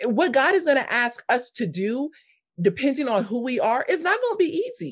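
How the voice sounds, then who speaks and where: Californian accent, high pitch: this woman speaks that way. Her pitch swings very widely. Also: moderate pace. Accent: Californian American. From US West Coast, South Los Angeles. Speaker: ministry leader and former missionary. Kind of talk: podcast interview.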